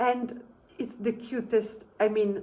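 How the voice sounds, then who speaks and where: Her tone dark and mellow, a woman speaks at a fairly high pitch and a fairly slow pace. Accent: Italian. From Italy. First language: Italian. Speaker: travel vlogger. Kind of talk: casual vlog talk to camera. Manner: halting, many fillers.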